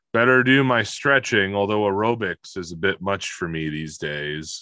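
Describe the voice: A man's put-on character voice, fairly low-pitched, at a moderate pace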